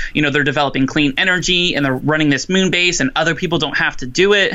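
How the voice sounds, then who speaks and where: Amid noticeable background noise, a man with an American accent speaks at a very fast pace in a fairly high pitch. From Florida. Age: 20s. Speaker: podcast co-host. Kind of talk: casual chat.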